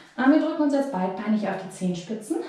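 Strong room echo surrounds a woman speaking with lively intonation. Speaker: fitness instructor. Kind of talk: workout instructions. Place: home room. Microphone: camera far.

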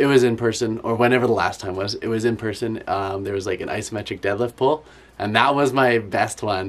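The intonation is mostly level. Speed is medium. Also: man. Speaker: athlete vlogger. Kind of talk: casual vlog chat. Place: home room.

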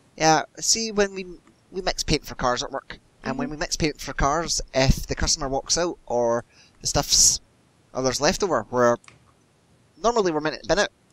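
The intonation is lively, delivered at a moderate pace in a Scottish accent. Long pauses come often, and the sound is dry and close with no echo. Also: man, fairly high pitch for a man. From Scotland. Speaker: gamer. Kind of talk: casual chat while gaming. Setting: voice chat while playing a game. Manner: animated, laughs often.

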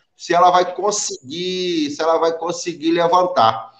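Audible room echo surrounds the speech against a quiet background. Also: man. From Brazil. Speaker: YouTube channel host interviewing immigrants. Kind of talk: interview. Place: home room. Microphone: webcam.

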